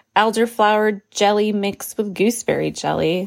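A woman with a New Mexico accent speaks at a fairly slow pace in a medium pitch. The sound is dry and close with no echo, on a very clean recording with a silent background. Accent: New Mexican English. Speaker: homesteading podcast host. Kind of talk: informal podcast tutorial.

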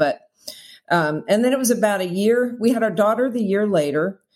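With an American accent, a woman talks at a moderate pace with ordinary pitch variation in an ordinary speaking voice. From New Jersey. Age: 60s. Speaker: author and podcaster. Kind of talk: casual interview.

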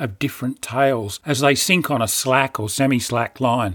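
Someone with an Australian accent speaks at a moderate pace in a very clean recording with a silent background and a dry, close sound with no echo. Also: man. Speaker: fishing podcaster. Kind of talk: scripted narration.

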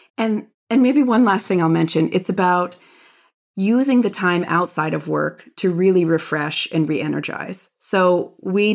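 A moderate pace in a Philadelphia accent, on a very clean recording with a silent background. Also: woman. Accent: American (Philadelphia). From US, Philadelphia area. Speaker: DEI strategist and author. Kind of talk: interview conversation. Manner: hesitant, many repetitions and fillers.

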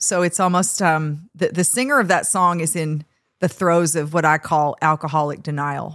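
A woman at a moderate pace with a fairly low pitch and ordinary pitch variation, in a very clean recording with a silent background. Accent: American. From Minnesota, US Upper Midwest. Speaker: country musician and songwriter. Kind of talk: casual interview chat. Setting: studio.

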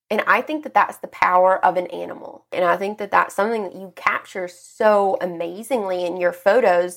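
The recording is very clean, with a silent background. It is a normal speaking voice at a moderate pace with ordinary pitch variation. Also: woman. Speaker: interviewer. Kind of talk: casual interview chat. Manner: casual, filler-heavy, chatty.

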